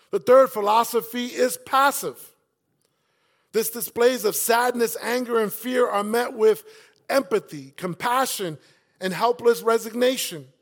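A man speaks in a New York accent with an extremely high pitch and an animated tone. The recording is very clean, with a silent background. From South Bronx, New York City. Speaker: campus pastor. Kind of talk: sermon. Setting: church.

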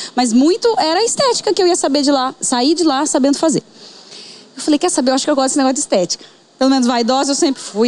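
Over noticeable background noise, a woman talks very fast in a high pitch with lively intonation. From Paraná, Brazil (Bandeirantes). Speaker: entrepreneur, aesthetics physiotherapist. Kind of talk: casual interview chat.

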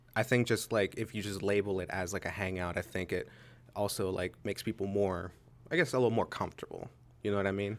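A man with an American accent, fairly low in pitch, very fast and fairly even in intonation, on a very clean recording with a silent background. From Pittsburgh, Pennsylvania. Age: 20s. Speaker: freelance videographer. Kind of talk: casual chat.

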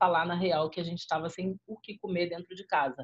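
A somewhat breathy woman's voice at medium pitch. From Rio de Janeiro favelas, Brazil. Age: 40s. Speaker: rapper, radio presenter and social activist. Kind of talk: interview.

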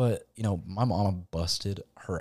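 With an American accent, a man speaks at a very deep, low pitch with vocal fry. His intonation is lively, in a dry, close sound with no echo. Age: 20s. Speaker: guest. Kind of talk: casual chat. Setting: home studio.

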